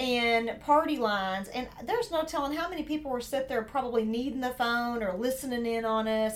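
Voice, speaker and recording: A woman's high voice with a Southern US accent, fairly quick, with hardly any pauses and ordinary pitch variation, over noticeable background noise. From Southern United States. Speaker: podcast co-host.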